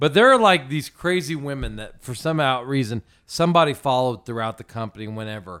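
In a plain, everyday voice, a man with an American accent talks at a fairly quick pace with medium pitch and lively intonation, on a very clean recording with a silent background. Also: big swings in loudness. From small-town Indiana, US Midwest. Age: 30s. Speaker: donut shop owner. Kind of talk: casual chat. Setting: studio.

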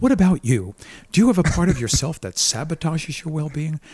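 A man's normal speaking voice, fairly high with lively intonation and an American accent, on a very clean recording with a silent background. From Brooklyn, New York. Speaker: therapist and keynote speaker. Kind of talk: casual chat.

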